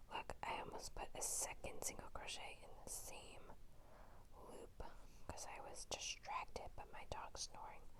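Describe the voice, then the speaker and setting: Whispering, a woman speaks at a fairly slow pace. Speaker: ASMR crochet creator. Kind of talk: ASMR whisper talk. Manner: whispered, soft-spoken.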